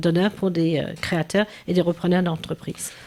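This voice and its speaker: A woman speaks at a medium pitch. She has a slight English accent. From England. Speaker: business owner. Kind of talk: TV interview.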